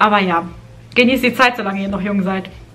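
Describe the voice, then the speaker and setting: A woman talks with fairly even intonation. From Germany (moved from Kazakhstan at age four). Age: 30s. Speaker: lifestyle vlogger. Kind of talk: casual vlog talk to camera. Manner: hesitant, with fillers and repetitions.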